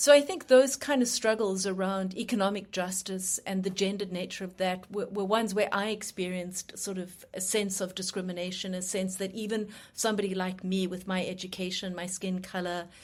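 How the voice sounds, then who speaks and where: Hardly any pauses interrupt this woman with a South African accent. She keeps a fairly quick pace and fairly even intonation. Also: medium pitch for a woman. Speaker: human rights lawyer. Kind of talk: interview. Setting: live radio show.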